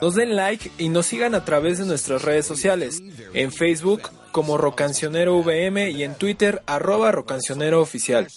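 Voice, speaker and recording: Music plays in the background as a man talks at a moderate pace. His voice is high-pitched, with lively intonation. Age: 20s. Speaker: radio host. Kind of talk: radio show presenting.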